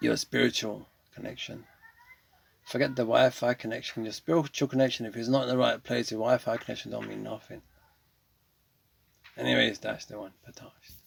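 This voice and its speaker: Fairly quick but marked by long, frequent pauses, a man's speech in a British accent rises and falls sharply in loudness. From England. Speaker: gaming streamer. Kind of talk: casual gameplay commentary with monologue.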